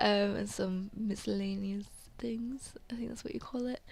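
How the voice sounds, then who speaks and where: Someone talks at a moderate pace with a British accent. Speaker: gaming YouTuber. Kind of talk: gameplay voiceover commentary. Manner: halting.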